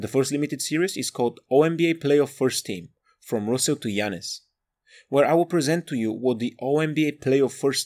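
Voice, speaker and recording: On a very clean recording with a silent background, a man talks fairly quickly at a medium pitch with ordinary pitch variation. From Bulgaria. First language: Bulgarian. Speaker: podcast host. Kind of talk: scripted monologue.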